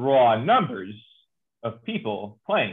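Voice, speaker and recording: A man with a New Jersey accent. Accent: American, New Jersey. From New Jersey, US. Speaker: cricket journalist. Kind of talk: interview chat. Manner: animated, talkative.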